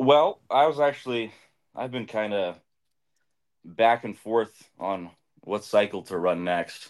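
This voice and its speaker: A man's fairly low voice at a very slow pace, with lively intonation and long, frequent pauses. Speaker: viewer joining live chat. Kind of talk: casual chat. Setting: video call.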